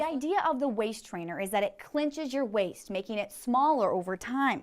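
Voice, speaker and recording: A woman's high-pitched voice. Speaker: TV news reporter and anchor. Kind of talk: TV news reporter delivery, live stand-ups and packages.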